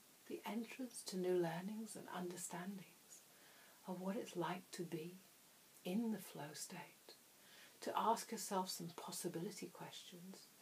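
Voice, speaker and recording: A soft-spoken woman at a fairly slow pace, medium in pitch and somewhat breathy. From England. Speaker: hypnotherapist. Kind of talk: hypnosis trance induction. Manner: soft-spoken, slow.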